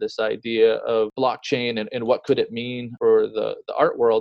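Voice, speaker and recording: This man talks at a moderate pace. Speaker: art blogger and founder. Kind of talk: casual interview conversation. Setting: remote call during lockdown.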